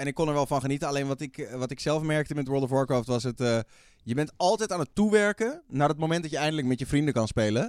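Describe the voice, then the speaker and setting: A man talks very fast in a fairly high voice with ordinary pitch variation. The recording is very clean, with a silent background. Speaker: radio host and streamer. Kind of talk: casual chat. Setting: studio.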